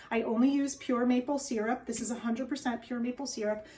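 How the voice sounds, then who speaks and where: Speaking very fast in a New Jersey accent, a woman has a fairly high pitch and a dark, mellow tone. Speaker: wellness and diet coach. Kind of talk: cooking tutorial. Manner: animated.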